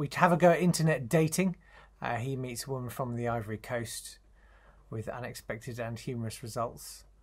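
Somewhat breathy, a man speaks at a moderate pace. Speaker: comedy writer and voice artist. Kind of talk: casual talk to camera promoting his show. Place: home room. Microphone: webcam.

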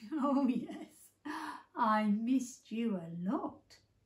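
In a put-on character voice, a woman speaks at a very slow pace and high pitch, with audible echo. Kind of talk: bedtime story. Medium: read story. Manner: warm, gentle. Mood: loving.

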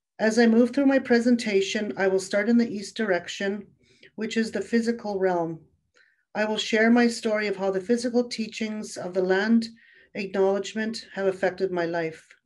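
A woman speaks at a moderate pace. Her pitch is fairly high and her intonation fairly even. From Canadian Prairies. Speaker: webinar presenter. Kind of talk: webinar presentation; presentation. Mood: calm, respectful. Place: home room. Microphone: webcam.

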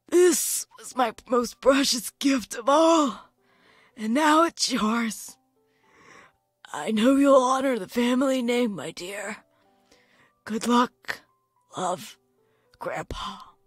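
At a very slow pace with long, frequent pauses, a female-sounding voice puts on a high-pitched character voice while faint music plays in the background.

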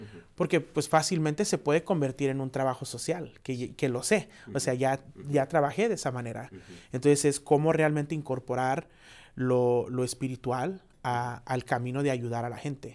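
The man's pitch is medium, with ordinary variation and a moderate pace. His loudness swings widely. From Chicago, Mexican-American family (Pilsen). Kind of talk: interview. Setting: studio. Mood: warm, smiling. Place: studio. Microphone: lapel.

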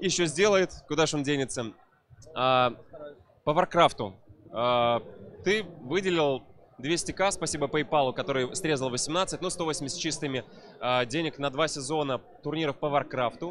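Against light background noise, a man speaks at a fairly slow pace and fairly high pitch, with ordinary pitch variation, long, frequent pauses and a dry sound with no echo. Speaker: event host. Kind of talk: casual interview chat. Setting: live stream at event. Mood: joking, teasing. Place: hall. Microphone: handheld.

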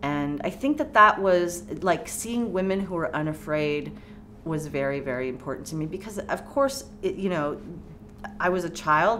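A woman with an American accent speaks at a moderate pace and a fairly low pitch, her intonation lively, with light background noise. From California. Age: 40s. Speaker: poet and professor; poet, professor. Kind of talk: oral history interview. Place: studio.

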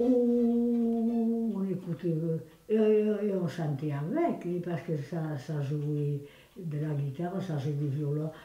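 The voice moves at a very slow pace with ordinary pitch variation. Audible room echo surrounds it. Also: woman. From Landes, southwest France. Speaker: village elder reminiscing. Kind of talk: interview answer. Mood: warm, reminiscing. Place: kitchen.

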